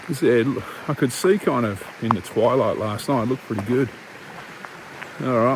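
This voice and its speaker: Long, frequent pauses break up speech in an Australian accent, with ordinary pitch variation and noticeable background noise. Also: man. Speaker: hiking vlogger. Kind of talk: vlog narration. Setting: outdoors.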